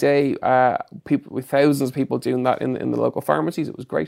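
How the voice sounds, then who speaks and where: A man with an Irish accent at a fairly quick pace, in a very clean recording with a silent background and a dry, close sound with no echo. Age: 30s. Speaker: fitness expert and personal trainer. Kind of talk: casual interview. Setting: studio.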